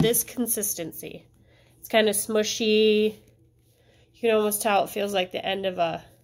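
Moderate pace and fairly even intonation. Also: woman. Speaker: teacher. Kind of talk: craft tutorial for families. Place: classroom. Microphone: phone near.

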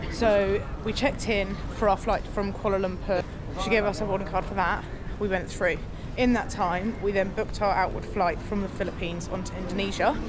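Against noticeable background noise, a woman speaks with long, frequent pauses in a dry sound with no echo. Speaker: travel vlogger. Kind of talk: casual vlog chat. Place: station. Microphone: phone near.

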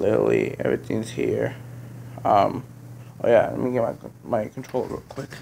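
Noticeable background noise is audible throughout. Over it, a man talks fairly slowly. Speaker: gaming youtuber. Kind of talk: casual vlog, room tour. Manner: hesitant, many fillers.

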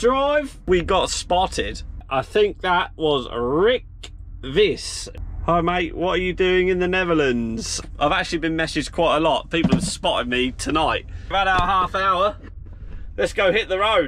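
Faint background noise sits behind a man speaking at a high pitch and a fairly slow pace. His intonation is lively and his tone fairly bright.

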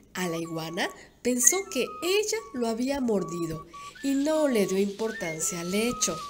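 Lively intonation at a fairly slow pace, with music in the background. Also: woman. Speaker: volunteer radio announcer. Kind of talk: children's story reading.

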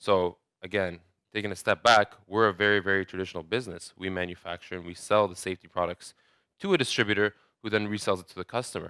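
Bright and sharp, a man's voice runs at a very fast pace in a monotone, flat delivery. The sound is dry with no echo, and the background is quiet. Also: fairly low pitch for a man. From Saudi Arabia. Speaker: digital marketing manager; conference presenter. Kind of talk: conference talk. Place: hall.

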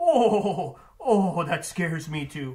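A cartoonish character voice from a man at a very slow pace. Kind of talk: book recommendation talk for students. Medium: puppet. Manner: theatrical, spooky wailing.

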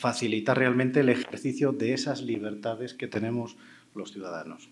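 The speech carries a Spanish accent and fairly even intonation. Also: man. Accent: Spanish (Spain). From Spain. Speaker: panel moderator, cybersecurity expert; panel moderator. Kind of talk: panel moderation. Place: stage. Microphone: handheld.

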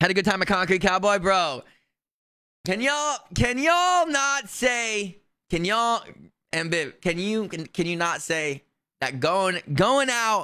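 Over a quiet background, a man with a high pitch projects a raised voice in a bright, sharp, animated tone, his intonation lively and his pace fairly slow. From New Jersey. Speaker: video game streamer. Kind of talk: live gameplay stream chat. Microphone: studio mic.

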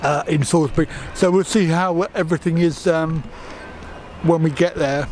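Faint music plays in the background as a man talks. He keeps a moderate pace and fairly even intonation. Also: dry sound with no echo. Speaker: travel vlogger. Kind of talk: casual vlog chat. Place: station. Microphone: phone near.

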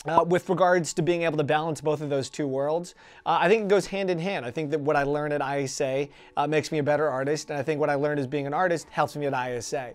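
A man at a very fast pace, his intonation fairly even. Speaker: interviewee. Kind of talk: interview answer. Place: studio. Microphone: lapel.

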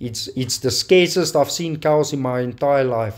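A man speaks in a South African accent. His pace is very slow. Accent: South African (Afrikaans) English. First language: Afrikaans. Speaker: gaming YouTuber. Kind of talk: gameplay commentary. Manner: casual, with frequent fillers.

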